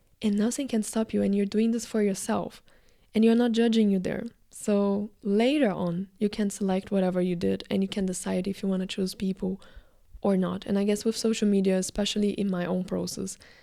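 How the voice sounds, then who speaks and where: A dark, mellow tone at a fairly quick pace, flat and monotone in intonation. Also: woman, medium pitch for a woman. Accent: Brazilian. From Brazil. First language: Portuguese. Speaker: actor, filmmaker and video creator. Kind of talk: casual vlog monologue. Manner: casual, filler-heavy.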